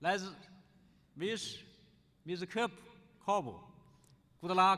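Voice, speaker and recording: A man with a Chinese accent speaks in a raised, projected voice with ordinary pitch variation. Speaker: scholar, conference speaker. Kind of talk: conference speech. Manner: halting, with restarts.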